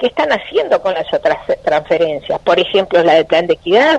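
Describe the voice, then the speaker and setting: Speaking in a Uruguayan accent, a woman keeps a moderate pace. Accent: Uruguayan Spanish (Rioplatense). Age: 60s. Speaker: politician. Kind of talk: radio interview.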